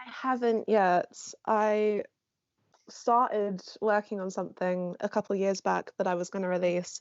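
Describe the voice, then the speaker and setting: Speaking at a moderate pace with a London accent, a woman keeps a medium pitch and fairly even intonation while her loudness swings widely. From North London. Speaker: songwriting student. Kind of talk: casual chat. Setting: video call.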